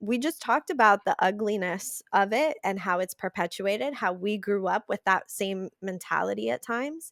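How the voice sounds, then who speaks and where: On a very clean recording with a silent background and a dry, close sound with no echo, a woman of medium pitch speaks at a moderate pace with lively intonation. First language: Spanish. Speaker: podcast guest. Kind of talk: podcast interview conversation.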